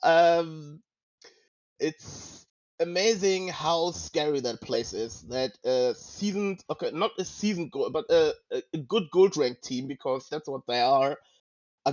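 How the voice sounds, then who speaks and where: A man speaks with a non-native accent at a fairly slow pace. His pitch is fairly high, with ordinary pitch variation. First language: not English. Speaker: podcast host. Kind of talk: casual discussion. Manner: halting, searching for words.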